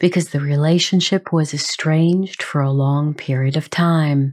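A woman's gentle, dark, mellow tone, somewhat breathy and fairly slow, on a very clean recording with a silent background. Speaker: podcast host. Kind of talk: podcast monologue on grief. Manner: gentle, compassionate.

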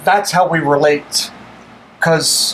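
Light background noise beneath a man's speech of ordinary pitch variation. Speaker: show host. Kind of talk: casual interview question.

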